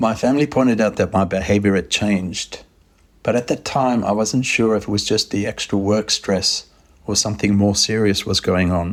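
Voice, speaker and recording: Speaking with an Australian accent, a man keeps a fairly low pitch, fairly even intonation, very even loudness and a moderate pace. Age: 60s. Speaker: interviewee sharing mental health experience. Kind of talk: testimony.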